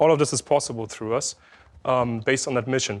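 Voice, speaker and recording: A man speaks with a slight German accent at a very fast pace. The recording is very clean, with a silent background. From Germany, Berlin. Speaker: SEO specialist, conference speaker. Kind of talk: conference talk. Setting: stage with audience. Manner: loud; hesitant, many fillers.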